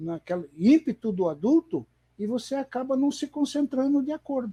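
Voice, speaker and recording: Lively intonation and a dark, mellow tone come through in a dry, close sound with no echo. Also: man. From Paraná, Brazil (Londrina). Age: 60s. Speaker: veteran table football player and former federation president. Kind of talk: interview. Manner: halting.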